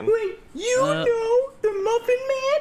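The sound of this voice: An extremely high, squeaky put-on character voice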